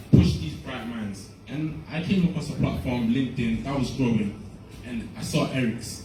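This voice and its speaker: The room echo is audible and there is noticeable background noise. Through it, a man speaks with lively intonation. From UK. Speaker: summit organiser and presenter. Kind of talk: conference talk.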